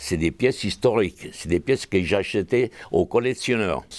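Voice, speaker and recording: In a very clean recording with a silent background, the speech moves at a moderate speed. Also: man. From southern Italy, Calabria. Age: 80s+. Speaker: costume designer, museum founder. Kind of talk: interview answer. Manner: passionate, flamboyant.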